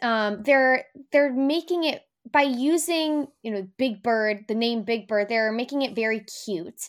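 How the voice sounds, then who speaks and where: A woman speaking very slowly in a very clean recording with a silent background. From New Jersey. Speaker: news producer and pageant contestant. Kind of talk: casual chat.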